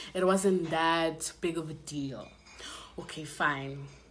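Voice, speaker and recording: An animated woman's voice, fairly low in pitch, with audible room echo. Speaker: YouTuber. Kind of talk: story time vlog. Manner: casual, animated.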